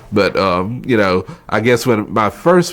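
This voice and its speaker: Someone speaks in a North Carolina accent at a fairly slow pace. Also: man. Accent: Southern US (North Carolina). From North Carolina, Wilkes County. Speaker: oral history interviewee. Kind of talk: interview.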